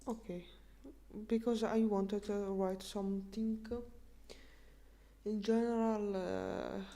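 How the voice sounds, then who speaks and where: A woman with a dark, mellow tone at medium pitch speaks in a monotone, flat intonation at a very slow pace with long, frequent pauses, amid audible room echo. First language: Russian. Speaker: streamer. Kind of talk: language-learning live stream. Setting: live stream. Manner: halting, many fillers.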